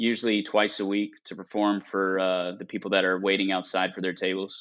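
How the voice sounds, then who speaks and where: Speaking with an American accent, a man with a fairly low pitch talks fairly quickly in a monotone, flat intonation. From North Carolina coast. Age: 20s. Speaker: magician. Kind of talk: casual chat.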